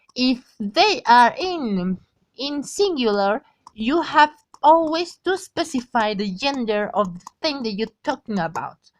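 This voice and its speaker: A woman with a Spanish accent speaks fairly slowly at a high pitch, her voice making very wide pitch swings and big swings in loudness, with a dry, close sound and no echo. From Mexico. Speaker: language tutor. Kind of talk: tutorial. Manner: halting.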